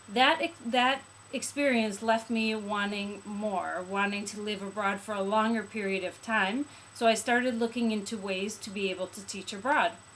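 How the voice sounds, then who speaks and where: Against noticeable background noise, a woman talks with an American accent at a moderate pace. Her fairly high pitch holds a fairly even intonation. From US Midwest, Chicago. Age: 30s. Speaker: English teacher. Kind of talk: testimonial.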